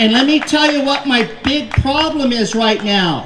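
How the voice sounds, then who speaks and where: Amid noticeable background noise and audible room echo, a woman speaks at a very slow pace and a high pitch. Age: 60s. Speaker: political candidate. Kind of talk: rally speech. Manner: animated.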